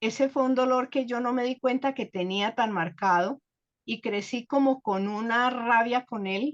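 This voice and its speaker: A woman's high-pitched voice at a fairly slow pace with ordinary pitch variation, dry and close with no echo, over a quiet background. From Colombia, Bogotá. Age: 70s. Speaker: guest speaker sharing life story. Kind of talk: personal testimony.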